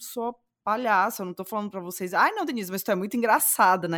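A woman with a Cearense accent, medium pitch, ordinary pitch variation and a fairly quick pace, on a very clean recording with a silent background. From Ceará, Brazil. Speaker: podcast co-host. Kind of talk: casual chat.

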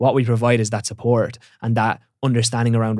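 With an Irish accent, this man talks at a medium pitch in a monotone, flat intonation over a very clean recording with a silent background. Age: 20s. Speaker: online fitness coach. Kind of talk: casual chat.

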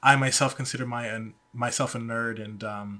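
A man's medium-pitched voice with a bright, sharp tone and an American accent at a moderate pace. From Georgia, US. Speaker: guest, IT worker. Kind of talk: casual podcast chat. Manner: hesitant, filler words.

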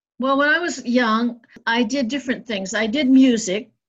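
A woman speaks in an American accent at a fairly slow pace. She has an unremarkable speaking voice with ordinary pitch variation. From US Midwest and Northeast. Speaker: sculptor and painter. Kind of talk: casual interview.

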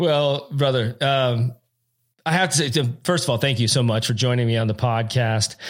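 The speaker has a plain, everyday voice, talking at a moderate pace with ordinary pitch variation and very even loudness. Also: man, medium pitch for a man. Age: 40s. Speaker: podcast host. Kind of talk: casual interview chat.

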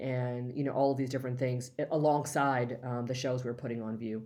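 A woman with an American accent speaks in a very deep, low pitch, her tone dark and mellow and her intonation fairly even, with audible room echo. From Los Angeles, US. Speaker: museum education executive and curator. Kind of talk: interview.

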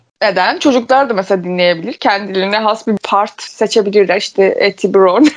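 With hardly any pauses, a woman talks at a moderate pace and medium pitch, using ordinary pitch variation. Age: 20s. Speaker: podcast co-host. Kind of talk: casual chat.

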